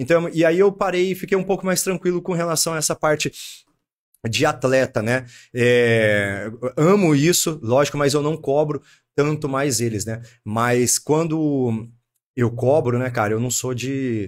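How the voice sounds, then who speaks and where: This man has a fairly high pitch, lively intonation and an ordinary speaking voice. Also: fairly slow pace. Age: 30s. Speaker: martial arts gym owner and kickboxing coach. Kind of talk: casual chat.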